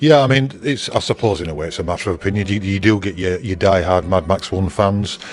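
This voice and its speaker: Over noticeable background noise, a man with a northern English accent talks in a very deep, low pitch. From northern England, Bradford. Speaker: museum owner. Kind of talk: interview. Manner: halting.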